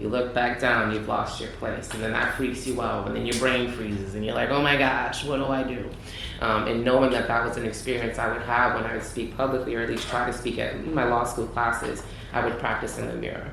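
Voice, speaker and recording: Fairly quick, monotone speech with flat intonation, audible room echo and noticeable background noise. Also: man, medium pitch for a man. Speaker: judge. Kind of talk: feedback to students. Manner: fast talker.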